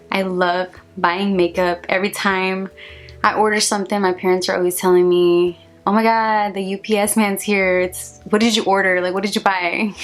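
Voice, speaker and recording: Over music in the background, a woman with a Spanish accent speaks at a moderate pace and medium pitch, keeping her intonation fairly even. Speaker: vlogger. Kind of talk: casual vlog monologue.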